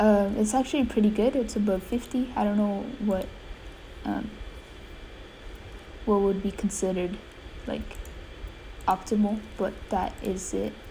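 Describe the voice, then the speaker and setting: Over noticeable background noise, a woman talks at a fairly slow pace in a medium pitch with fairly even intonation and long, frequent pauses. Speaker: gaming youtuber. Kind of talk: gameplay commentary. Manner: hesitant, many fillers.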